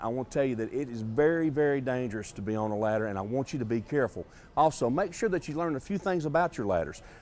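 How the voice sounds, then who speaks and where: Intonation is lively as a man speaks. His pace is very fast. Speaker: TV home improvement host. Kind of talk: tutorial. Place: shop.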